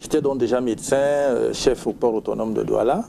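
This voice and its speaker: Speaking at a moderate pace, a man uses a medium pitch and ordinary pitch variation. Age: 60s. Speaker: sleep medicine doctor. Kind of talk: TV interview.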